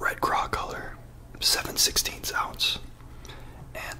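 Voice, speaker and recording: A man whispers. His pace is fairly slow. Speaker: fishing ASMR YouTuber. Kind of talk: ASMR unboxing and lure review. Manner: soft-spoken, whispered. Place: home room. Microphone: studio mic.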